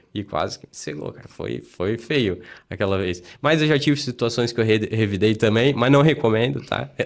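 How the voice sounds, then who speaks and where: A man with a medium-pitched voice speaks with vocal fry and lively intonation. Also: moderate pace, very clean recording, silent background. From Blumenau, Santa Catarina, southern Brazil. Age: 30s. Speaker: city councillor. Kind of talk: casual interview chat.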